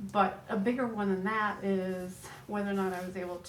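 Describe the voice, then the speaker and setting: Monotone, flat speech moves at a moderate pace amid noticeable background noise and audible room echo. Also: woman. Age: 70s. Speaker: retired speech pathologist. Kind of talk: group discussion.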